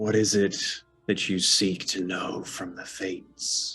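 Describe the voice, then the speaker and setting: A man puts on a raspy character voice, fairly low in pitch, with monotone, flat intonation at a fairly slow pace. Faint music plays in the background. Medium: actual play. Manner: calm, cryptic, solemn.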